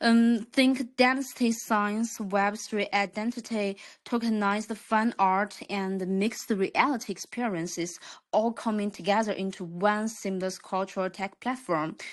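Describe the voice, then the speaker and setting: A woman speaks slowly-ish, at a fairly slow pace, with a Chinese accent. Her pitch is medium and her intonation fairly even. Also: quiet background. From China. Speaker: crypto project representative. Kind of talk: project presentation.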